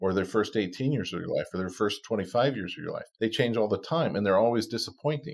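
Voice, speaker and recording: On a very clean recording with a silent background, a man speaks at a fairly quick pace in an unremarkable speaking voice with ordinary pitch variation. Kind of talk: interview.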